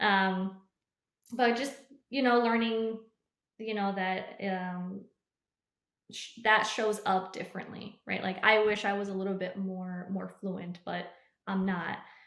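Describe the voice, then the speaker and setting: Fairly slow, fairly even speech with long, frequent pauses and audible room echo. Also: woman, medium pitch for a woman. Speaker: high school teacher. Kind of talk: casual interview chat. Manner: hesitant, many fillers and repetitions.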